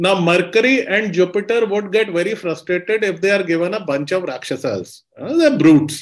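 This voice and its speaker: A man with a high pitch and ordinary pitch variation speaks at a moderate pace with hardly any pauses over a quiet background. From India. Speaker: astrologer. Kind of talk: lecture. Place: home room. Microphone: webcam.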